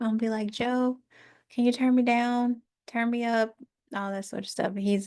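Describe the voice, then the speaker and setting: A woman at a moderate pace over a quiet background. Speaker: YouTuber reading a book aloud. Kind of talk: reading aloud with commentary. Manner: loud, projecting. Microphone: new sensitive microphone, sounds loud.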